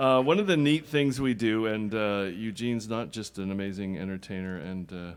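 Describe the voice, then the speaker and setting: In a normal speaking voice, a man with fairly low pitch speaks at a moderate pace with hardly any pauses, on a very clean recording with a silent background. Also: ordinary pitch variation. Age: 50s. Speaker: friend introducing a performer. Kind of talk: speech introducing a performer.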